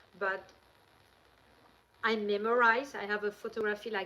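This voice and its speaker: Her intonation monotone and flat, a woman speaks at a fairly quick pace with a French accent. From France. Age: 40s. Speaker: vlogger. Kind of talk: casual chat. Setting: livestream.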